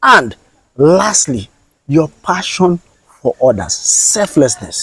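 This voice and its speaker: A man with a Nigerian accent speaks at a very slow pace in a dry, close sound with no echo. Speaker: content creator. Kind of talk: interview.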